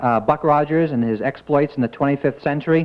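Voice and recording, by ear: The man's pitch is fairly high, with ordinary variation. He speaks at a fairly quick pace.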